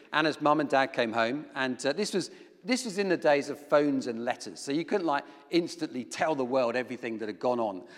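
Heard on a very clean recording with a silent background, a man with a normal speaking voice talks at a fairly quick pace with lively intonation. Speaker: preacher. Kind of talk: sermon. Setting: church.

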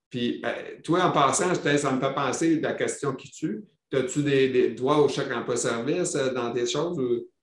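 With a Quebec accent, a man talks at a fairly slow pace. His pitch is fairly high, and it varies an ordinary amount. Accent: Québécois French. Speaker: podcast host living with multiple sclerosis. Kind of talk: casual interview chat. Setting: video call.

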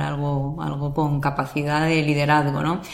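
A woman with a very deep, low pitch speaks at a moderate pace, with audible room echo. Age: 30s. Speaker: sports lawyer. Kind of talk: interview. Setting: office.

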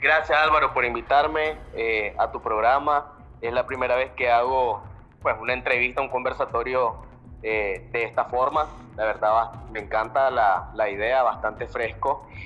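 Over music in the background, a man of medium pitch speaks at a fairly slow pace. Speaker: political activist, member of a civic alliance. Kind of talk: live audio-room discussion.

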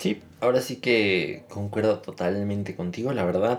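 This is an ordinary speaking voice from a man, moving at a fairly slow pace. His pitch varies in an ordinary way. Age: 20s. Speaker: podcast co-host. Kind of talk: casual chat.

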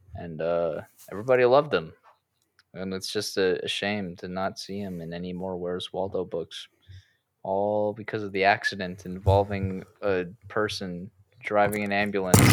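On a very clean recording with a silent background, a man with an ordinary speaking voice talks at a moderate pace with fairly even intonation and big swings in loudness. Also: fairly low pitch for a man. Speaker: podcast host. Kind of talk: casual chat. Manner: casual, jokey.

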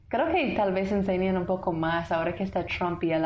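There is noticeable background noise. A woman with an American accent talks at a fairly quick pace. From US South, Tennessee. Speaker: lawyer and entrepreneur working in Guatemala. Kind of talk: casual interview, storytelling.

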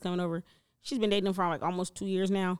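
Her delivery is very fast. This woman sounds animated. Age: 30s. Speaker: podcast host. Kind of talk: casual chat.

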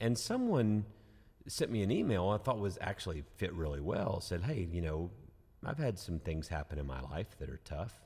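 Very deep and low in pitch, this man's somewhat breathy voice has a dark, mellow tone and lively intonation. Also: moderate pace. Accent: Southern US. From US South, Georgia. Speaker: pastor and podcast host. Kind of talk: casual chat about scripture. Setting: studio.

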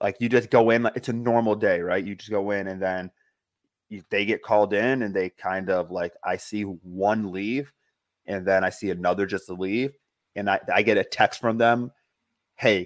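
A man's normal speaking voice, fairly low in pitch, at a moderate pace with fairly even intonation, dry, close sound with no echo, and a quiet background. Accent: American. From New York State, outside upstate. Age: 30s. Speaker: satellite radio producer. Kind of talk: casual interview.

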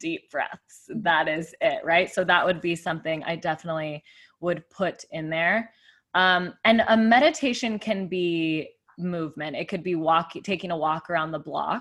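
A plain, everyday voice from a woman with an American accent, fairly low in pitch and at a fairly slow pace, on a very clean recording with a silent background. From Arizona, US (Tucson). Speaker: fitness, breath and meditation coach. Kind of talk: casual chat. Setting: studio.

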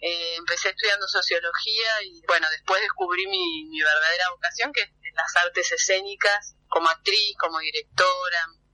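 This woman's pitch sits fairly low and moves with ordinary variation while she keeps a moderate pace. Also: dry, close sound with no echo. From Argentina, Buenos Aires area (Temperley). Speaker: theatre director. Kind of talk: phone interview. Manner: hesitant, many fillers.

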